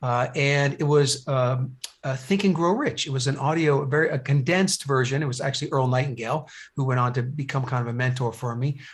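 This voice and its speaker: A man's somewhat breathy voice moves at a fairly quick pace, his intonation fairly even. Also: medium pitch for a man. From New Jersey. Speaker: business coach. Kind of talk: podcast interview. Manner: halting, many fillers and repeats.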